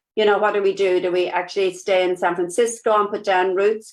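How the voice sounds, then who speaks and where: With a strong Irish accent, a woman talks at a fairly quick pace in monotone, flat intonation. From Ireland. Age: 50s. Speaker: nurse and network marketing business partner. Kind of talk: interview. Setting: live video stream. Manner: casual with many fillers.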